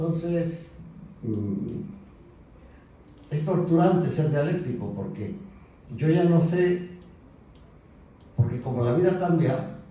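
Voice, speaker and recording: Speaking at a very slow pace, a man uses ordinary pitch variation. Room echo is audible. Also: long, frequent pauses. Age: 70s. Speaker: poet. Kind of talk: speech at a tribute event.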